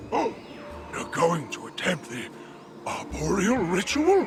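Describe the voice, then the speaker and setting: Over clear background noise, someone does a put-on character voice at a fairly slow pace. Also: man. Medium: video game. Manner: warm, laughing.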